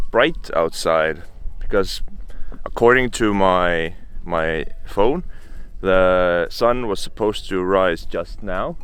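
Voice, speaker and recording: Music plays in the background as a man speaks very slowly with an Estonian accent. There is audible room echo. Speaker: travel vlogger. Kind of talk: outdoor vlog. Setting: outdoors in a bog. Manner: talkative, loud; hesitant, many fillers.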